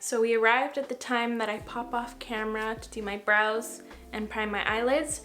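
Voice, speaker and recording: Against music in the background, a woman with a fairly high pitch speaks at a moderate pace, her intonation fairly even but her loudness swinging widely. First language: French. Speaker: makeup artist / beauty vlogger. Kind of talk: casual get-ready-with-me tutorial. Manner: relaxed, chatty.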